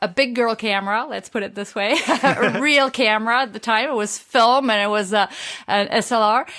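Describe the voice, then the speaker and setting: A woman with a French accent speaks at a fairly quick pace, her pitch fairly high and her tone bright and sharp, with fairly even intonation. The recording is very clean, the background silent. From France. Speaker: street photographer. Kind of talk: interview. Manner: passionate.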